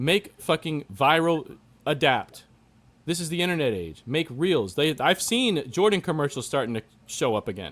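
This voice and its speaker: A voice with vocal fry and very wide pitch swings moves at a moderate pace on a very clean recording with a silent background. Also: man, fairly high pitch for a man. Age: 30s. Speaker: sneaker enthusiast guest. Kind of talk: casual chat. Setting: live stream. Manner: animated.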